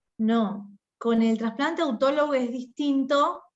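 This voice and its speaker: In an Argentine accent, the speaker talks at a very slow pace with ordinary pitch variation. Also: woman. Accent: Argentine Spanish (Rioplatense). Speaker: doctor, hematology medical advisor. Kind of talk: medical Q&A talk.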